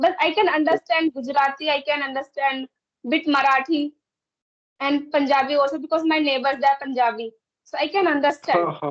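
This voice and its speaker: A woman with an Indian accent speaks at a fairly quick pace in a high voice with fairly even intonation. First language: Hindi or another Indian language. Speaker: English learner in conversation practice. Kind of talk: casual conversation practice. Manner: halting, with repetitions.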